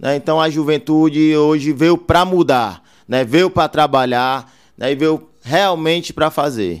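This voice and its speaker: A man's fairly high voice with ordinary pitch variation and very even loudness, on a very clean recording with a silent background. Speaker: city councillor-elect and businessman. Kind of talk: casual interview. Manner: halting, with many fillers.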